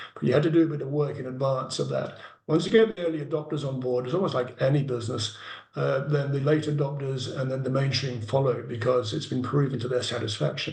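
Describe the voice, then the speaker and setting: A man speaks very fast with an English accent, his pitch medium with ordinary variation. Room echo is audible. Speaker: carbon farming project developer. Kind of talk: Q&A answer in an online meeting.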